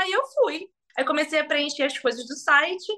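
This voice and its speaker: This woman's tone is animated. Lively intonation runs through her speech. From Brazil, Magé (Rio de Janeiro state). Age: 20s. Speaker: actress. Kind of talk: casual interview.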